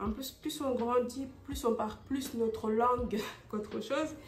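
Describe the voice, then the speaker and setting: A woman speaks at a very slow pace in a high pitch, with fairly even intonation. The room echo is audible. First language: not French; French is her second language (speaking French). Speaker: vlogger. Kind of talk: casual vlog talk to camera. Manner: halting, many fillers and repetitions.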